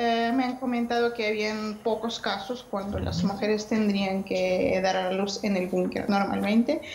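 A woman with a fairly high pitch at a fairly slow pace, hardly any pauses, fairly even intonation, audible room echo and light background noise. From Ukraine. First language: Ukrainian or Russian (speaking Spanish). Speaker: pregnant civilian in war zone. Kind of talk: news interview. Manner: halting, with fillers. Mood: calm, serious. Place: home room. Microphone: video call.

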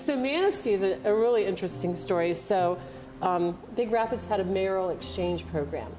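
A woman speaks at a fairly quick pace over clear music in the background. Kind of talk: interview answer. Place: bar.

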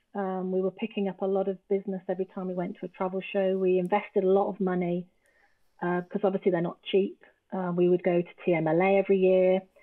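With an English accent, a woman speaks very fast in a flat monotone against a quiet background. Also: medium pitch for a woman. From England. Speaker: travel business founder; podcast guest. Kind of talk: casual chat. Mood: reflective, earnest. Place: home room.

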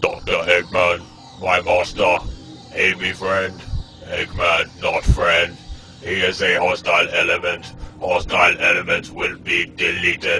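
A man in a put-on character voice at a fairly slow pace, with clear background noise. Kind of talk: robot monotone. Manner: flat, mechanical, repetitive.

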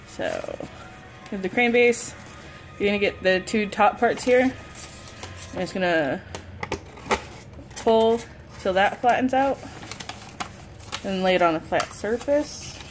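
Music plays in the background as a woman speaks at a fairly slow pace. She leaves long, frequent pauses, and her pitch varies in an ordinary way. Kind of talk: tutorial. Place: home room. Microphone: phone near.

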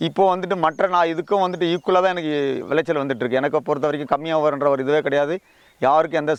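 A man's fairly high-pitched voice, a normal speaking voice with ordinary pitch variation, in a dry, close sound with no echo. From Tamil Nadu, Vellore district. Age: 50s. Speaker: farmer, army veteran. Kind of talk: interview testimony. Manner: colloquial, filler-heavy.

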